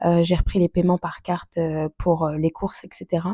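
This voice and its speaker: A woman's medium-pitched voice, dark and mellow in tone, monotone and flat in intonation, at a moderate pace, in a dry, close sound with no echo. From France. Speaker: budgeting vlogger. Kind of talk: casual vlog talk. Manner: hesitant, many fillers.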